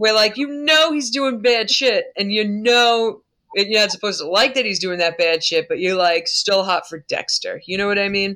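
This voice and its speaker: A woman with a Long Island accent, bright and sharp in tone, lively intonation, moderate pace, hardly any pauses. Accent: Long Island New York. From US Northeast, Long Island. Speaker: podcast co-host. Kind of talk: casual chat. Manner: animated.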